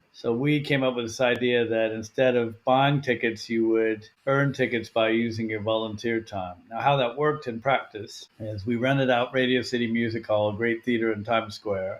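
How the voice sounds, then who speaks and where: Speaking with an American accent, a man keeps a moderate pace with hardly any pauses. His medium pitch has monotone, flat intonation. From US West Coast, Portland Oregon. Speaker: nonprofit founder and CEO. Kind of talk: podcast interview.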